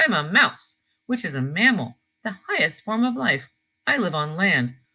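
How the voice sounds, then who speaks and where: A woman's put-on character voice at a medium pitch, full of very wide pitch swings. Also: moderate pace. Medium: read story.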